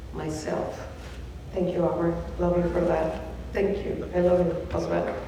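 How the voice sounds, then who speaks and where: A woman with a Mexican accent and a fairly low pitch is heard with audible room echo and noticeable background noise. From Mexico City, Mexico. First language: Spanish. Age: 50s. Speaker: award honoree. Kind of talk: acceptance speech. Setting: banquet stage with audience.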